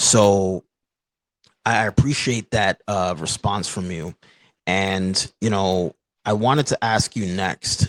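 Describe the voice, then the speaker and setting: Fairly low in pitch, a man speaks at a fairly slow pace in a normal speaking voice. The recording is very clean with a silent background, dry and close with no echo. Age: 30s. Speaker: podcast host. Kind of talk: casual interview.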